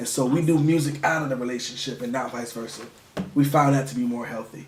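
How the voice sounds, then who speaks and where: A man speaks at a very fast pace with a medium pitch and ordinary pitch variation. His tone is animated, and there is noticeable background noise. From Connecticut (New Haven), moved to Virginia at about nine. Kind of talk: interview. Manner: casual, animated.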